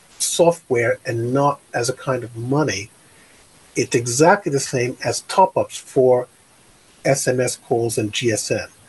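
A man with an American accent speaks at a medium pitch with ordinary pitch variation. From New York, Brooklyn; New York. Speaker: tech company founder; guest. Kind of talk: interview. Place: home room. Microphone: studio mic.

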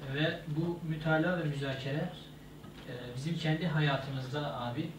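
Amid loud background noise and audible room echo, a man speaks at a moderate pace. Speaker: presenter. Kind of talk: lecture. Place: office. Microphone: camera far.

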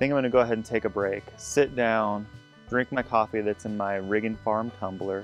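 Faint music plays in the background as a man talks at a fairly quick pace with fairly even intonation, the sound dry with no echo. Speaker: farm vlogger. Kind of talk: casual vlog chat. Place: open country. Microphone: phone near.

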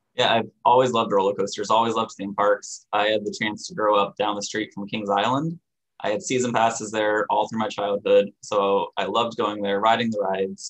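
A man with an unremarkable speaking voice talks at a fairly quick pace, with hardly any pauses. His pitch is fairly low, and the background is quiet. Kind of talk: interview answer. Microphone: webcam.

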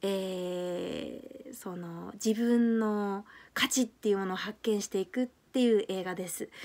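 Fairly slow delivery from a woman, her pitch varying in an ordinary way. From Japan. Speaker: YouTuber and English teacher; language learning vlogger. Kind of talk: vlog monologue. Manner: hesitant, many fillers. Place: home room. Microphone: phone near.

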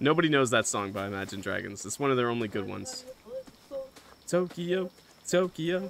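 A man's fairly high voice with very wide pitch swings, a fairly quick pace broken by long, frequent pauses, and noticeable background noise. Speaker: gaming streamer. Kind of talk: live stream gameplay chat. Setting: live stream with game audio and co-players.

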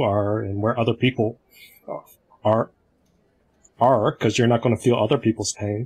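The man's voice is somewhat breathy. His intonation stays monotone and flat. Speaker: community discussion facilitator. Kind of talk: group discussion on video call. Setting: video call. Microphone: video call.

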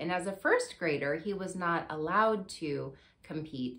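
The speaker is a woman. Her pitch moves in an ordinary way. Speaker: show host. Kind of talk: personal talk-show monologue. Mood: warm, candid storytelling.

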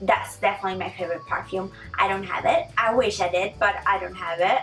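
A woman speaks at a fairly quick pace with medium pitch and ordinary pitch variation while faint music plays in the background. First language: not English. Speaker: vlogger. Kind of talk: casual talk to camera. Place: home room. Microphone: camera far.

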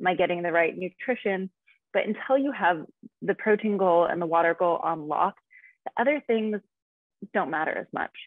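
In an American accent, a woman with a medium pitch talks at a fairly quick pace, using lively intonation and long, frequent pauses. The sound is dry with no echo, and the background is quiet. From US West, Nevada. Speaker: fitness and nutrition coach; nutrition coach. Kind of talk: casual interview. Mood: calm, informative. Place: home room. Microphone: video call.

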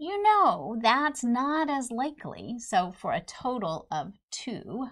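A woman with a high pitch and very wide pitch swings, at a very slow pace, against a quiet background. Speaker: instructor. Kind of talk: lecture. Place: studio.

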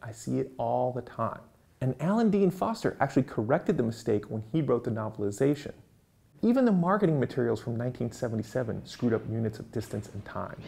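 Speaking at a fairly quick pace, a man with a dark, mellow tone and vocal fry uses lively intonation. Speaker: presenter. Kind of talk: educational explainer to camera. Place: studio.

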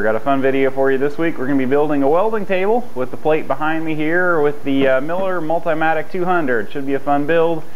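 A man talks at a fairly quick pace with hardly any pauses. There is light background noise. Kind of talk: casual vlog chat. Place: garage.

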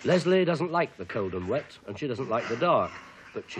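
A man talks at a fairly quick pace with very wide pitch swings. Light background noise can be heard. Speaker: documentary narrator. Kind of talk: documentary narration.

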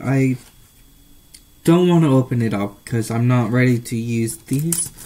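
A man's dark, mellow, somewhat breathy voice, with ordinary pitch variation and a fairly slow pace. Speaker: vlogger. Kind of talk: casual talk to camera. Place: home room. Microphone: webcam.

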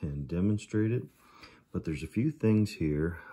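Ordinary pitch variation runs through a man's dark, mellow tone against a quiet background. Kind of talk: tutorial. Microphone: phone near.

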